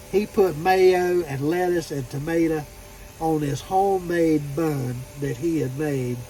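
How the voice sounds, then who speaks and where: In a Southern US accent, a man with a fairly high pitch speaks in a relaxed tone at a fairly slow pace, with ordinary pitch variation and noticeable background noise. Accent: southern drawl. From Florida. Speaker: truck driver vlogger. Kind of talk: casual vlog monologue. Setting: parked at truck terminal. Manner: relaxed, storytelling.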